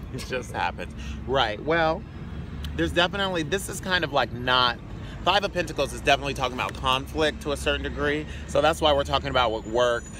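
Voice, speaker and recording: A man talking very fast, with noticeable background noise behind him. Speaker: tarot reader. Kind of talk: tarot reading. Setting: outdoors. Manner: loud.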